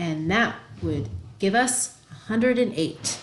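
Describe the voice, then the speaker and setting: A somewhat breathy voice speaks at a fairly slow pace, with room echo audible. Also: woman. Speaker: math teacher. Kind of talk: tutorial.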